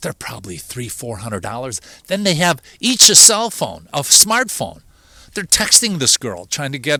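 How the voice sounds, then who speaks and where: A man with a Chicago accent speaks at a moderate pace in a fairly high voice with a bright, sharp tone and very wide pitch swings, recorded very cleanly against a silent background with a dry, close sound and no echo. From Chicago, southeast side. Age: 60s. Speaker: video show host. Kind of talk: casual monologue. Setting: outdoors.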